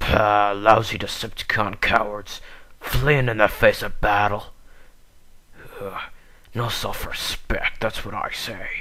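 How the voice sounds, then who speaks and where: Using a put-on character voice, a man of medium pitch speaks at a fairly slow pace with long, frequent pauses. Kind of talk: voice audition. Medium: voice reel. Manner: brash, taunting.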